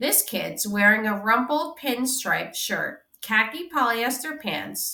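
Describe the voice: Against a quiet background, someone does some plain reading aloud.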